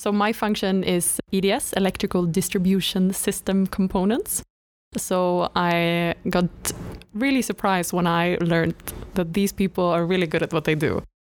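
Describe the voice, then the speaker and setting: A woman in a Swedish accent, with fairly even intonation and very even loudness. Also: medium pitch for a woman, moderate pace. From northern Sweden. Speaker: graduate trainee podcast co-host. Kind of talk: casual chat.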